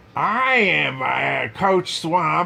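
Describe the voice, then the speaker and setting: In a put-on character voice, a man speaks with a high pitch. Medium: read story. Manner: stern, barking, commanding.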